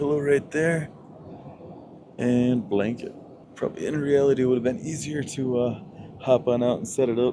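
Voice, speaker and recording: A man with a medium-pitched voice speaks at a moderate pace over noticeable background noise. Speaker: travel vlogger. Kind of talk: travel vlog narration. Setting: on an airplane. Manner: animated.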